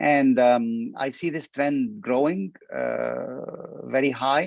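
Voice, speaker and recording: The recording is dry and close, with no echo. A man with an Arabic accent speaks at a medium pitch. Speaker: petroleum industry expert. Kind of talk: interview. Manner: halting, many fillers and repetitions.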